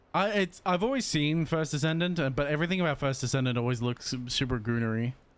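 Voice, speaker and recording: A man talks very fast at a fairly high pitch, with ordinary pitch variation and very even loudness. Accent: Australian. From Australia. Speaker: video game streamer. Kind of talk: casual live stream chat. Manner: halting, many restarts and fillers.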